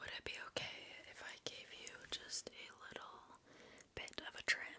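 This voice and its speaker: A woman is whispering. Her tone is gentle. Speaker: ASMR creator. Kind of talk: ASMR personal attention roleplay. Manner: soft, whispered, gentle. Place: home room. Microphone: studio mic.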